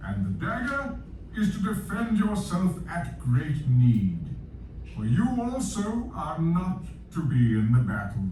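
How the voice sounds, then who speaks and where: Speaking at a fairly slow pace, a man does a put-on character voice, with slight echo and clear background noise. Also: fairly high pitch for a man. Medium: read story. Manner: grave, measured.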